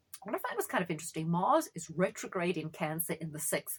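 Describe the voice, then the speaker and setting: Somewhat breathy, a woman speaks in an animated tone. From South Africa. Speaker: astrologer. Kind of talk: monologue on astrology.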